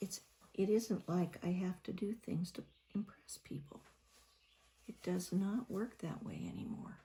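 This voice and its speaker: In a relaxed, dark and mellow tone with vocal fry, a woman of medium pitch speaks at a fairly slow pace with fairly even intonation and long, frequent pauses. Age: 70s. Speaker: painting vlogger. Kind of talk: casual chat while painting. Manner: relaxed, rambling.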